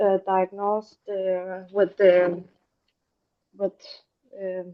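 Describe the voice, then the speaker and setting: In a non-native accent, a woman speaks at a medium pitch with a monotone, flat intonation. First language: not English. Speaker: patient participant. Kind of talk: personal testimony. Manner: halting.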